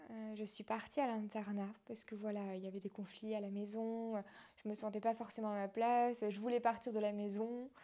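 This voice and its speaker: A woman speaks at a fairly slow pace with a fairly high pitch, a dark, mellow tone and fairly even intonation. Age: 20s. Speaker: former patient, health platform founder. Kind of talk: personal testimony interview. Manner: hesitant, many fillers.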